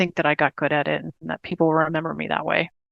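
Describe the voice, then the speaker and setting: Against a quiet background, a woman's very deep, low voice carries vocal fry, with a dry, close sound free of echo. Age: 50s. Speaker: patient with terminal diagnosis. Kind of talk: interview.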